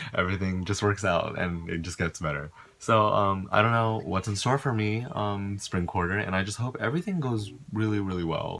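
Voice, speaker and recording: A man's fairly low voice moves at a fairly quick pace, its pitch varying in an ordinary way. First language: not English. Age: young. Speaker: college student vlogger. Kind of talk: casual vlog. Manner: casual, filler-heavy.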